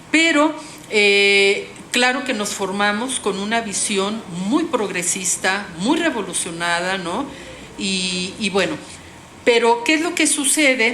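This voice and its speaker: Someone speaks very slowly with lively intonation, with audible room echo and noticeable background noise. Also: woman, medium pitch for a woman. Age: 60s. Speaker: social work professor. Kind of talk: panel talk. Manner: halting.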